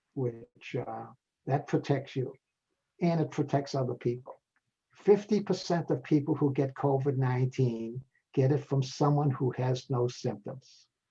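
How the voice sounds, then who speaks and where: A man speaks at a fairly slow pace in a fairly high pitch, with ordinary pitch variation, a somewhat breathy quality and a dark, mellow tone. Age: 80s+. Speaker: retired dentist and public health expert. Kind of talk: interview.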